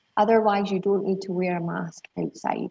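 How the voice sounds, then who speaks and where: A woman with a Scottish accent and medium pitch talks at a moderate pace with fairly even intonation. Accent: Scottish, slightly refined. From southern Scotland. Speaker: university international recruitment representative. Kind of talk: webinar presentation. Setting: video call.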